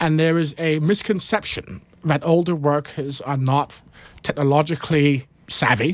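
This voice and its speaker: With a British accent, a man speaks at a moderate pace in a fairly high pitch and with ordinary pitch variation. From United Kingdom. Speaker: nonprofit CEO. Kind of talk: panel discussion. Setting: studio.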